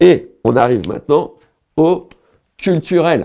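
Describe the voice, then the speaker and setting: A man speaks very slowly in a dark, mellow tone. The recording is very clean with a silent background. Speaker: comedian, online humorist. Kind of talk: casual comic monologue to camera. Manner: rambling, free-flowing.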